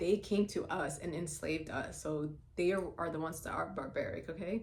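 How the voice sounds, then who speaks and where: There is audible room echo around this woman's voice. She speaks at a fairly low pitch with vocal fry. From Somalia. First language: Somali. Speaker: vlogger. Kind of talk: personal monologue vlog. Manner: animated.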